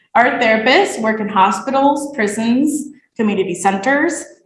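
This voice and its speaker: A woman's voice with audible room echo. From Nicaragua. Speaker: graduate student. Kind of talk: thesis presentation.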